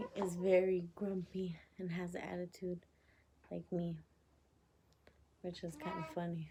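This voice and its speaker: Soft-spoken and fairly low-pitched, a woman talks at a fairly slow pace in a monotone, flat intonation with long, frequent pauses. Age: 20s. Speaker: vlogger. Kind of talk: casual chat. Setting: home at night.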